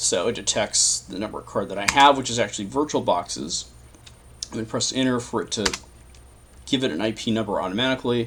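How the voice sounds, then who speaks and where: A man at a very fast pace with long, frequent pauses and ordinary pitch variation, over noticeable background noise. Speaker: tech tutorial youtuber. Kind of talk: screen-recorded tutorial. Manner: casual, thinking aloud. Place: home room.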